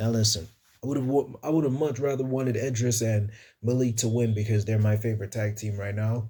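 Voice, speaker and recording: Somewhat breathy, a man's voice carries a dark, mellow tone. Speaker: wrestling YouTuber. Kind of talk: casual show review. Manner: animated; stumbling over words.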